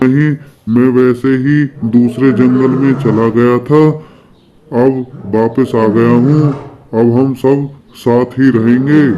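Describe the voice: A man uses a cartoonish character voice at medium pitch. He goes at a fairly slow pace with long, frequent pauses.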